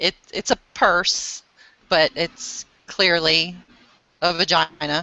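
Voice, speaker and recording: She is a woman speaking with an American accent. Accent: Southern accent shows when agitated. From US South, Central Florida. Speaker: crafter. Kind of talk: casual chat. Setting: video call.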